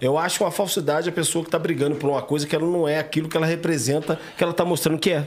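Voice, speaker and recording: Noticeable background noise sits behind a man's fairly high voice at a very fast pace with hardly any pauses. His intonation is flat and monotone, and his loudness stays very even. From Três Rios, Rio de Janeiro state, Brazil. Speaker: martial arts coach. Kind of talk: casual interview chat.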